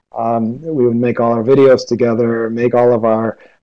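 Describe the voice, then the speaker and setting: A man with a Midwestern accent talks at a medium pitch and a moderate pace. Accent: American Midwestern. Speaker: teacher. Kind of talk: lecture. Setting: video call.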